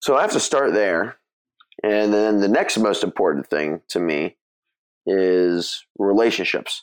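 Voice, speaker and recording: In an American accent, the speaker talks at a fairly slow pace with ordinary pitch variation and very even loudness, in a dry, close sound with no echo. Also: man, fairly low pitch for a man. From US West Coast, Bay Area (Mill Valley, California). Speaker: podcast founder and co-host. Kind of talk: casual interview.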